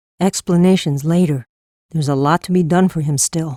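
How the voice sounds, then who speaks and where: The voice is a put-on character voice. It sits at a middle pitch. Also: fairly quick pace. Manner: brisk, practical.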